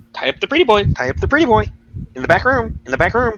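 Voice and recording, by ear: Putting on a nasal character voice, a man rattles along at a very fast pace in a high pitch.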